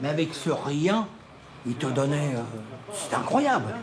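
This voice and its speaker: A man is speaking. Noticeable background noise and audible room echo come through. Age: 60s. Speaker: local resident. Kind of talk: documentary interview. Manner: animated.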